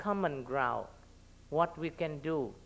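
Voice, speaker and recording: A man's high voice with ordinary pitch variation, with a Vietnamese accent. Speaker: local elected official; panelist. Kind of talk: panel talk. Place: hall. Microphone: podium.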